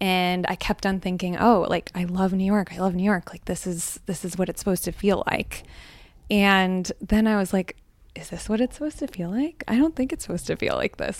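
A woman's normal speaking voice with an American accent, medium pitch and ordinary pitch variation, in a very clean recording with a silent background. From Northeast Pennsylvania, Scranton area. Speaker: hot seat guest. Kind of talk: audience Q&A. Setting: apartment with live audience.

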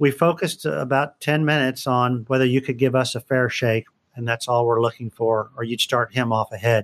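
A man with an American accent and a plain, everyday voice speaks fairly quickly at a medium pitch with ordinary pitch variation. The sound is dry and close, with no echo. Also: quiet background. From Northern Virginia and Houston, Texas. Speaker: trial lawyer. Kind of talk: interview.

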